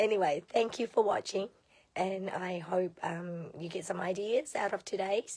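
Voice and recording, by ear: A croaky, hoarse and raspy put-on character voice at a moderate pace. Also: woman, medium pitch for a woman.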